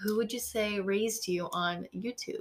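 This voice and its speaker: A woman speaks at a moderate pace with fairly even intonation. Noticeable background noise can be heard. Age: 20s. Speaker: podcast co-host, college student. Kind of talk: casual chat.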